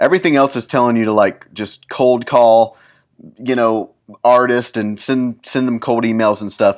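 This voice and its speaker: On a very clean recording with a silent background, a man with a medium pitch talks in a fairly even intonation. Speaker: podcast host, music business consultant. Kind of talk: solo podcast monologue, business advice. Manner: fast; casual, with fillers and restarts.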